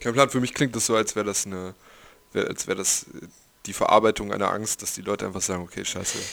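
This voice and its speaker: A man with a fairly low pitch talks at a fairly quick pace, his intonation fairly even, his loudness swinging widely, and his speech broken by long, frequent pauses. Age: 20s. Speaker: podcast co-host. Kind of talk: casual chat. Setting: video call.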